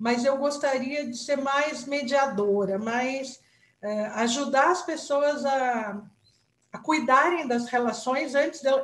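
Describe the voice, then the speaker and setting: A woman talks at a very slow pace. Her pitch is high, with ordinary variation. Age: 60s. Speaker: retired company director, workshop participant. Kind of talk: group discussion.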